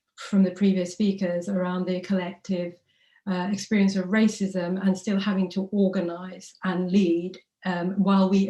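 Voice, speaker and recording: In a London accent, a woman talks at a moderate pace with a dark, mellow tone, medium pitch and monotone, flat intonation. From London, East End (Tower Hamlets). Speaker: rally speaker, anti-racism activist. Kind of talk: rally speech.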